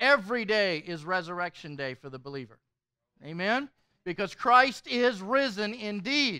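A man speaks at a moderate pace in a raised, projected voice with a bright, sharp tone and big swings in loudness, against a quiet background with a dry sound and no echo. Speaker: pastor. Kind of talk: sermon. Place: hall.

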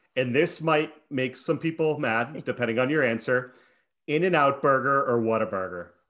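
A man at a medium pitch, moderate pace and ordinary pitch variation, over a quiet background. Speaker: podcast host. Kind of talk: interview. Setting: video call. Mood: friendly, upbeat. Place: home room. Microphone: headset.

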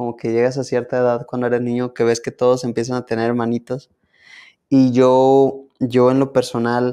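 A man speaks with a dark, mellow tone against a quiet background. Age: young. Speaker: guest sharing a faith story. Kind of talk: interview answer. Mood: warm, smiling, a bit shy. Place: studio.

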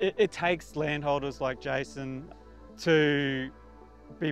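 A man's voice, dry with no echo, over faint music in the background. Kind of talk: interview answer. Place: waterside. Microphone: lapel.

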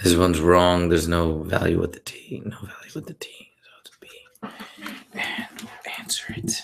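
Someone whispers at a moderate pace. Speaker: math tutor. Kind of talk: tutorial. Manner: whispering.

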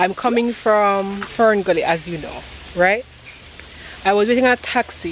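Over light background noise, the fairly slow speech has ordinary pitch variation and a dry sound with no echo. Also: woman. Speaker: travel vlogger. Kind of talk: casual vlog chat. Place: garden. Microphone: phone near.

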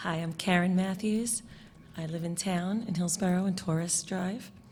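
This speaker has a New York accent and talks at a moderate pace with fairly even intonation. The voice is somewhat breathy, and some room echo can be heard. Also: woman, medium pitch for a woman. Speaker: parent and teacher. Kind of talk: public comment.

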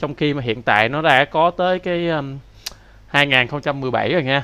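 This man's voice has a bright, sharp tone. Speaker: programming instructor. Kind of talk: tutorial.

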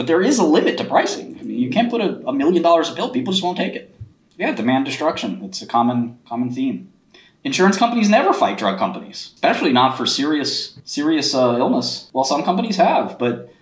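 A man talking at a very fast pace amid audible room echo. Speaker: finance streamer. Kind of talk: livestream commentary. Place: home room. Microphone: webcam.

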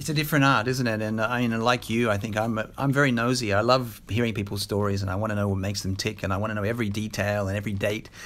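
Speaking very fast with hardly any pauses, a man keeps a fairly low pitch and fairly even intonation. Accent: Australian. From Australia. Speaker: interviewer, former journalist. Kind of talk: interview. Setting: on location in Brisbane.

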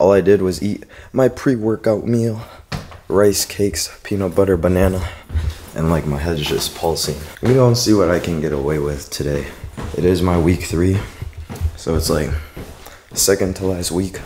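With light background noise behind him, a man speaks in a very deep, low voice at a moderate pace and with ordinary pitch variation. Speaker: fitness vlogger. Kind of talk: casual vlog chat. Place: home room. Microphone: phone near.

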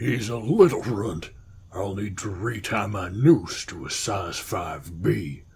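A man speaks in a put-on character voice at a fairly low pitch. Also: fairly slow pace.

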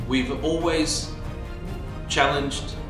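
A man talks over clear background music, with audible echo in the room. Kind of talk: prepared address to viewers. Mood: earnest, calm.

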